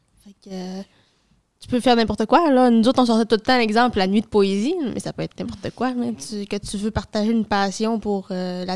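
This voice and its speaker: On a very clean recording with a silent background and a dry, close sound with no echo, a woman uses an ordinary speaking voice at a moderate pace and fairly high pitch with ordinary pitch variation. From Dolbeau-Mistassini, Lac-Saint-Jean, Quebec. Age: 20s. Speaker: youth committee member, student. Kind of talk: casual chat.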